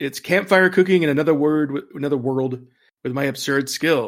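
On a very clean recording with a silent background, a man with a fairly high pitch speaks at a moderate pace in a plain, everyday voice. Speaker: interim podcast host. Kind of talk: casual chat podcast.

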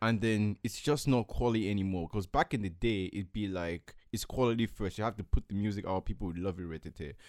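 In a normal speaking voice, a man talks at a fairly quick pace with hardly any pauses, his pitch fairly low with ordinary variation, in a dry, close sound with no echo. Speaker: podcast host. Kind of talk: casual chat. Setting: studio.

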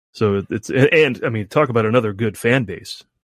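Recorded very cleanly with a silent background and a dry, close sound with no echo, a man has a normal speaking voice, fairly low in pitch with ordinary pitch variation. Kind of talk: relaxed interview answers. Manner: casual, rambling, self-correcting storytelling.

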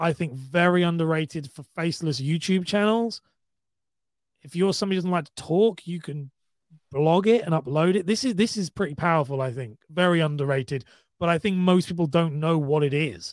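On a very clean recording with a silent background, a man with a British accent talks at a high pitch and a fairly quick pace, with ordinary pitch variation. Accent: British, sometimes taken for Australian. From UK. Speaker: podcaster and content creator. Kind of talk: casual chat.

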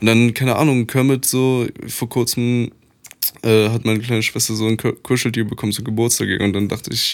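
A man's flat, monotone delivery at medium pitch and a fairly quick pace. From Poland, grew up in Germany. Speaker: rapper. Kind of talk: casual chat.

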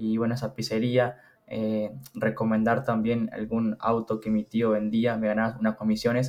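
Flat and monotone, a man speaks at a moderate pace. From Uruguay. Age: 20s. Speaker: funded trader. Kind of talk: casual interview.

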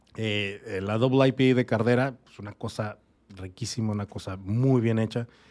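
Speaking at a fairly slow pace, a man with a medium-pitched voice keeps his intonation fairly even while his loudness swings widely. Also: very clean recording, silent background. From Mexico, Torreón, Coahuila. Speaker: craft brewer. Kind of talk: casual interview. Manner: halting.

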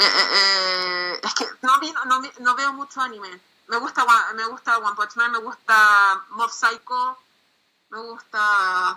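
A woman with a Chilean accent talks at a very slow pace. Her tone is bright and sharp, and her pitch variation is ordinary. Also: fairly high pitch for a woman. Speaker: comic artist. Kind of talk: interview.

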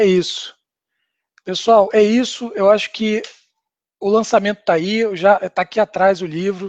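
Against a quiet background, a man speaks with a high pitch and ordinary pitch variation, the sound dry and close with no echo. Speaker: author. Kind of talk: live stream book launch talk. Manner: halting, many fillers.

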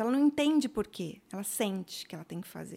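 A woman with an unremarkable speaking voice, medium pitch and moderate pace, on a very clean recording with a silent background. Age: 50s. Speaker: psychologist. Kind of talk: casual chat.

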